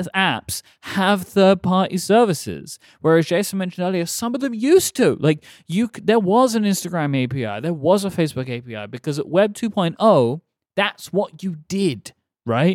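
Very clean recording with a silent background and a dry, close sound with no echo, featuring a man with a high pitch, an English accent, lively intonation and a moderate pace. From England. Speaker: podcast host. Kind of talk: casual chat.

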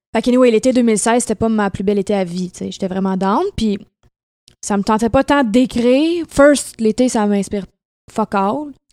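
A woman's dark, mellow voice comes through a very clean recording with a silent background and a dry, close sound with no echo. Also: fairly high pitch for a woman, ordinary pitch variation, moderate pace. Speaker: singer. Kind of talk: casual chat. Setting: at her home.

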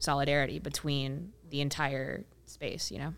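A woman with an American accent is heard on a very clean recording against a silent background. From rural Ohio, US Midwest. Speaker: women's soccer podcaster and writer. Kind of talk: casual panel discussion.

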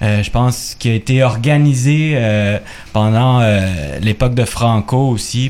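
Speaking at a very slow pace, a man keeps ordinary pitch variation. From Quebec, of Chilean descent. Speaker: guitarist. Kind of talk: radio interview.

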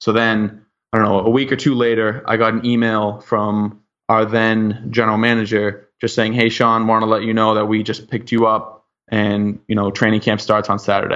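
A man at medium pitch speaks at a moderate pace in a monotone, flat intonation with very even loudness. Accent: American. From Boston area, US. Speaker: professional lacrosse player. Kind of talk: interview.

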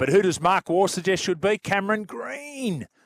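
An animated tone in an Australian accent, with a dry, close sound, no echo, and a very clean recording with a silent background. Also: man. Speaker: sports radio host. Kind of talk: talk radio chat. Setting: radio studio.

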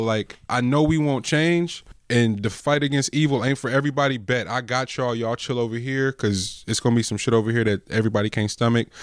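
A man talks at a fairly quick pace with hardly any pauses, his pitch medium and ordinarily varied. The recording is very clean, with a silent background. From San Francisco Bay Area, California. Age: 30s. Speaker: rapper. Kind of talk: casual chat. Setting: studio.

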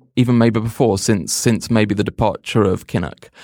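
A man with an English accent talks at a medium pitch and moderate pace. The sound is dry and close with no echo, on a very clean recording with a silent background. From England, Oxford. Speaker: magazine editor. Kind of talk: casual panel discussion.

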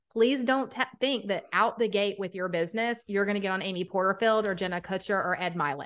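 A woman with a Southern US accent, medium pitch and ordinary pitch variation. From Atlanta, Georgia. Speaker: podcaster and business coach. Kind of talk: casual interview chat.

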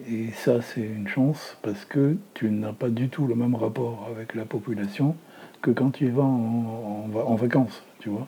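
A man speaks in a medium-pitched, somewhat breathy voice with a dark, mellow tone and fairly even intonation. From Lebanon, Beirut. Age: 70s. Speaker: retired documentary filmmaker and film teacher. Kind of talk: testimony.

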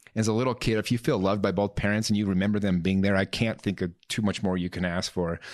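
Against a quiet background, a man talks at a very fast pace with hardly any pauses. His pitch is fairly low and his intonation fairly even. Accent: Utah. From Utah, Salt Lake area. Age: 30s. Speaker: real estate entrepreneur and life coach. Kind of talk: podcast interview, personal story.

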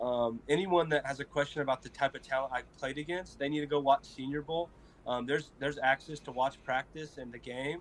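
Delivered at a fairly quick pace, a plain, everyday voice keeps its intonation fairly even. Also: man, fairly high pitch for a man. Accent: American. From small town Colorado. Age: 20s. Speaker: college football player, NFL draft prospect. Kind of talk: interview, casual. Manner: friendly, casual, says 'man' and 'bro' often.

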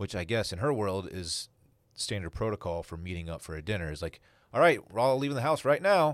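A man with a fairly low pitch, very wide pitch swings and big swings in loudness, at a fairly quick pace, in a very clean recording with a silent background. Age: 30s. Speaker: podcast host. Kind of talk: casual chat. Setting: studio.

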